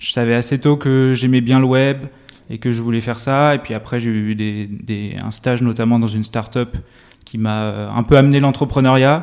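This is a normal speaking voice with fairly even intonation, moving at a moderate pace. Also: man, medium pitch for a man. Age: 20s. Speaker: tech startup co-founder and CTO. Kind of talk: interview.

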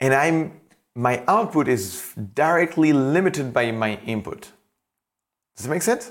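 Speaking in a French accent, a man moves at a fairly slow pace, leaving long, frequent pauses and using very wide pitch swings. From France. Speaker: podcast host and coach. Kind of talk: solo motivational monologue. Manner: animated; halting.

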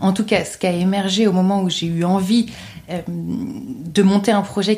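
Her voice is somewhat breathy and medium in pitch. The woman speaks at a fairly slow pace. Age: 30s. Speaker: public-sector finance consultant and mental health festival founder. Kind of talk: interview.

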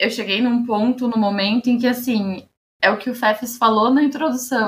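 A woman talks in an ordinary speaking voice. Her pitch is fairly high, with ordinary pitch variation. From Osasco, São Paulo state, Brazil. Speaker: researcher and master's student. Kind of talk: casual chat.

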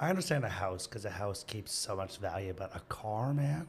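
A man speaks at a fairly low pitch, somewhat breathy. His pitch swings very widely. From Canada. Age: 30s. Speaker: teacher. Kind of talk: casual interview chat, storytelling. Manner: energetic, excitable.

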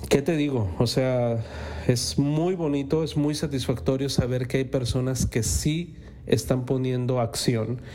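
A man's medium-pitched voice at a fairly slow pace, with ordinary pitch variation, audible room echo and noticeable background noise. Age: 40s. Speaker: podcast host. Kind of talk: motivational monologue. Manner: animated.

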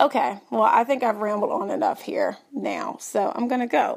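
A woman speaks at a moderate pace with a Southern US accent and ordinary pitch variation. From Tennessee. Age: 30s. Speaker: podcast listener leaving a voicemail. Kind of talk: voicemail message.

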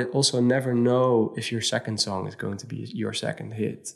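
Flat and monotone, a man speaks at a medium pitch and a moderate pace. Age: 30s. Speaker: DJ and music producer. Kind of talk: casual interview. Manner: hesitant, many fillers.

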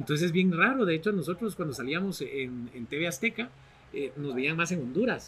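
Noticeable background noise surrounds a man with a high-pitched voice. He speaks at a moderate pace with lively intonation. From Guatemala, Barberena, Santa Rosa. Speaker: television personality and author. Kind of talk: podcast interview.

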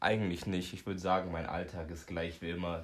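This man's pitch is very deep and low. His intonation stays monotone and flat. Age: 20s. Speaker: retail apprentice. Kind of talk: interview.

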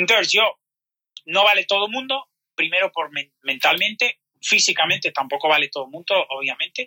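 Raised and projected, a man's high, bright, sharp voice moves at a fairly quick pace with lively intonation, in a dry, close sound with no echo. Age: 40s. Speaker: personal trainer. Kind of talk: interview.

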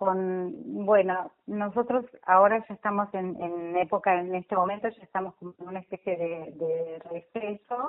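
A woman at medium pitch talks at a fairly slow pace with ordinary pitch variation, hardly any pauses, and big swings in loudness. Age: 60s. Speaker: lay church volunteer. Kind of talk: interview. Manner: halting.

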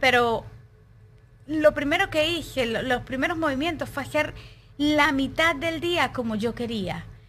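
An ordinary amount of pitch variation and a fairly slow tempo. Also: woman. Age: 30s. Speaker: juice maker, wellness guide. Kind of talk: casual interview.

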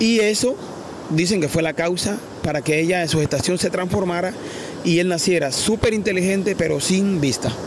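Over noticeable background noise, a high-pitched man speaks at a moderate pace with ordinary pitch variation and very even loudness. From Colombia, La Guajira coast. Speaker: artisanal fisherman. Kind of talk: interview storytelling. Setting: outdoors by the sea.

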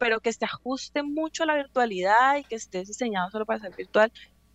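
The woman's high-pitched voice has lively intonation and a moderate pace, with a dry, close sound with no echo. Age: 20s. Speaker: reiki practitioner. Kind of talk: interview. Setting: studio.

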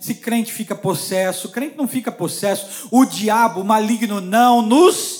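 With a Brazilian accent and a high pitch, a man speaks at a fairly slow pace in an animated tone with ordinary pitch variation while noticeable background noise runs behind him. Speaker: preacher. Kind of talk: sermon. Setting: church.

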